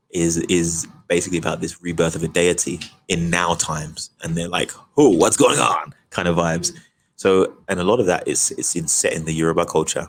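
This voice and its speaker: In a British accent, the words come out rather quickly. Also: man. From Britain, Nigerian heritage. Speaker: actor. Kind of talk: interview. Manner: animated.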